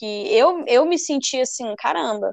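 A woman is speaking. Her sound is dry and close, with no echo. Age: 20s. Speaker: podcast co-host, artist. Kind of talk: casual chat.

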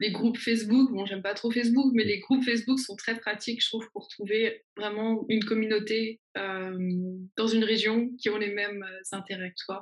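Somewhat breathy and fairly high-pitched, a woman speaks at a moderate pace in a flat, monotone intonation. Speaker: YouTuber. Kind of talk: interview.

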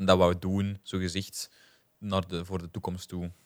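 A man with a Flemish accent speaks in a very deep, low voice and a flat monotone. The recording is very clean, with a silent background. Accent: Flemish Dutch. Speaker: podcast co-host. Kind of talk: casual chat.

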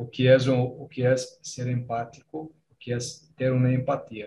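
Speaking at a very slow pace, a man with a Portuguese accent sounds somewhat breathy. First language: Portuguese (speaking Spanish). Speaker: Spanish learner. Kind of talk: casual chat.

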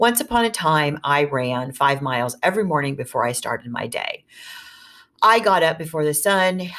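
This woman's very deep, low pitch moves through very wide swings as she talks at a moderate pace. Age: 50s. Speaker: podcast host and fiction writer. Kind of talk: solo podcast monologue. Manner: casual, chatty with fillers.

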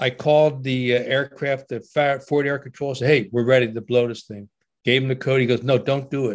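A man speaks with a New Jersey accent at a medium pitch. His intonation is monotone and flat, at a moderate pace. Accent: New Jersey American. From US, Trenton, New Jersey. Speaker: war veteran and author. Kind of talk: interview storytelling.

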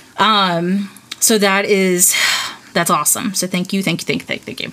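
A woman with an American accent talks at a medium pitch with fairly even intonation amid noticeable background noise. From North Carolina, Asheville. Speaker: podcast host. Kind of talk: casual chat.

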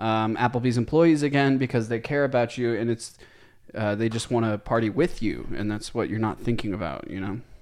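A normal speaking voice with ordinary pitch variation. The background is quiet. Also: man, medium pitch for a man, fairly quick pace. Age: 20s. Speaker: podcast co-host. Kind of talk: casual chat.

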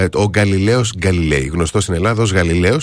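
A man's fairly low voice races along at a very fast pace. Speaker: radio host. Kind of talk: casual chat.

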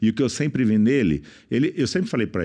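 A man talks very fast at a medium pitch, his tone dark and mellow with vocal fry. The background is quiet. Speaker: businessman and speaker. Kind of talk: casual chat.

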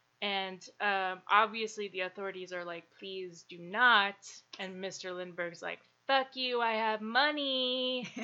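A woman's plain, everyday voice, medium in pitch with ordinary pitch variation, at a fairly slow pace with big swings in loudness. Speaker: podcast host. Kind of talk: casual chat.

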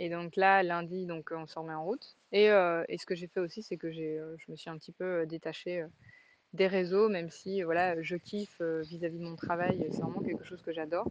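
With big swings in loudness, a woman speaks at a moderate pace in a fairly low pitch and a monotone, flat intonation. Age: 30s. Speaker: life coach and podcaster. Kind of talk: casual monologue. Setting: outdoors by a fjord in Denmark. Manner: hesitant, many fillers.

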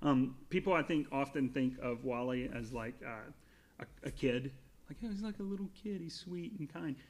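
A man with an American accent speaks at a moderate pace in a fairly high pitch with lively intonation. He has a plain, everyday voice. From US South. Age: 30s. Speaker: podcast guest, Pixar fan. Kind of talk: casual chat.

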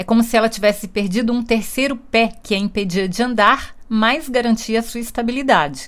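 Using an ordinary speaking voice, a woman talks at a moderate pace and fairly high pitch with ordinary pitch variation. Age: 50s. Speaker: book reviewer. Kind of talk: book review monologue.

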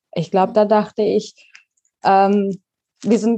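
A woman with a dark, mellow tone talks at a medium pitch and a moderate pace. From Baden-Württemberg, Pforzheim. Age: 30s. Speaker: digital nomad and online coach. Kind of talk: interview.

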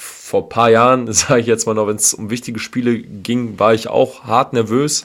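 A man's medium-pitched voice at a moderate pace. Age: 30s. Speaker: football fan podcast co-host. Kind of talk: casual chat.

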